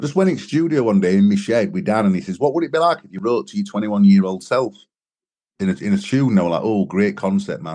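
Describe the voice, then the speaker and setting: With a Sheffield accent and a dark, mellow tone, a man talks at a very fast pace, his pitch swinging very widely and his loudness swinging a lot. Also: fairly low pitch for a man. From northern England, Sheffield. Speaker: singer and songwriter. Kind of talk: interview. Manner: casual.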